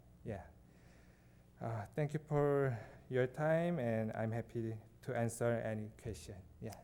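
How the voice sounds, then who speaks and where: A dark, mellow tone in a non-native accent, at a fairly slow pace with long, frequent pauses and ordinary pitch variation. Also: man, medium pitch for a man. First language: not English. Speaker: physical therapist, applicant. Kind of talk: public hearing testimony. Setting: village board meeting. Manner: halting.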